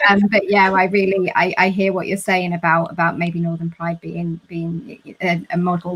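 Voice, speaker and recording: At a moderate pace, a woman with a London accent talks in a fairly low pitch with monotone, flat intonation. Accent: southern English (London). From London, southern England. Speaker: panel moderator. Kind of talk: live panel discussion. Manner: hesitant, repeats words.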